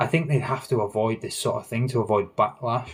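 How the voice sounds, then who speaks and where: Somewhat breathy, the man's voice sits at a middle pitch. His pitch rises and falls in the usual way. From northern England. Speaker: gaming livestream host. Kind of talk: casual livestream chat. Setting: livestream.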